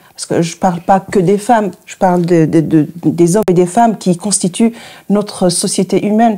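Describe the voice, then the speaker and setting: Here a woman with an Arabic accent speaks at a fairly slow pace. Her pitch sits in the medium range, with fairly even intonation. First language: Arabic (speaking French). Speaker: radio journalist and producer. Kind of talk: interview. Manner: halting.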